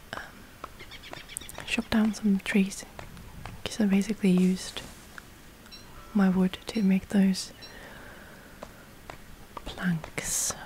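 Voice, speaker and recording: A woman whispers at a very slow pace, leaving long, frequent pauses, with big swings in loudness over noticeable background noise. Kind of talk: ASMR gameplay commentary. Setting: gameplay recording with breathing sounds. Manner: whispered.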